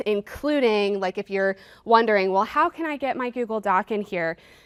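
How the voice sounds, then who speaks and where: A woman has an ordinary speaking voice with lively intonation. The very clean recording has a silent background and a dry, close sound with no echo. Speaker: product trainer, former teacher. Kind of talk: product demo workshop.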